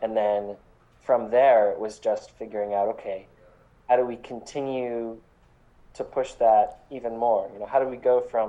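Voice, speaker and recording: A man with an American accent, medium pitch and moderate pace. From Connecticut, US. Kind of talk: interview. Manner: halting, repeats words.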